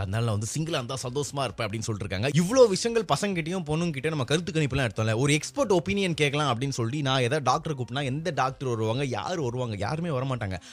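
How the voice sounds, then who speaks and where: A man speaks with a fairly high pitch and a somewhat breathy voice. His intonation is lively. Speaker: radio jockey. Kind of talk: casual radio-style talk to camera.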